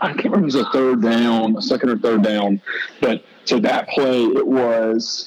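There is noticeable background noise while a man speaks with lively intonation. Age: 20s. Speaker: former college football linebacker. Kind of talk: casual interview chat. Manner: animated.

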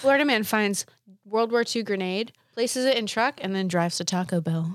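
In an American accent, a woman talks at a moderate pace with a fairly high pitch and ordinary pitch variation on a very clean recording with a silent background. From New England, US. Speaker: podcast co-host. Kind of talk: casual chat. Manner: animated.

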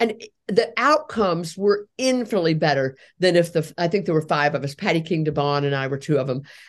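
Against a quiet background, a woman with a fairly low pitch talks at a fairly quick pace in an ordinary speaking voice. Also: lively intonation. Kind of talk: interview.

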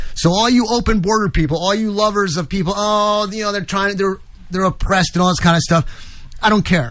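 A man with an American accent, high-pitched, with ordinary pitch variation, at a fairly quick pace. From New York. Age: 60s. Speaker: radio host. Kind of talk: talk radio, political commentary. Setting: studio.

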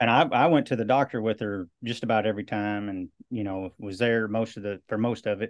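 A plain, everyday voice from a man, fairly low in pitch, with fairly even intonation, hardly any pauses and a fairly quick pace. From US Midwest, western Iowa. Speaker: movement coach and cancer survivor. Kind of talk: interview.

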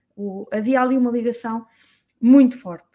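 Speaking at a fairly slow pace, a woman uses a high pitch. She talks in a European Portuguese accent. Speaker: business mentor. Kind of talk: solo talk to audience. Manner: halting, many fillers.

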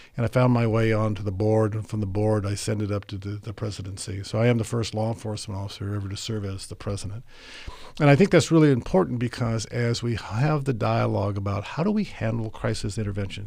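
Delivered at a very fast pace in an American accent, the voice has a dark, mellow tone and ordinary pitch variation. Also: man. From Tokyo, Japan and Monterey, California. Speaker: police chief. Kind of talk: interview conversation.

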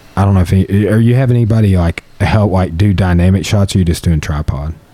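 A man with a Southern US accent talks at a fairly quick pace and a fairly low pitch with ordinary pitch variation. Noticeable background noise is present. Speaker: podcast host and jiu-jitsu practitioner. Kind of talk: casual chat.

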